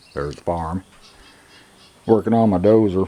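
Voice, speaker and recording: A man speaks over noticeable background noise. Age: 60s. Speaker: farmer. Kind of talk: casual tutorial vlog. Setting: outdoors at farm. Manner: casual, plainspoken.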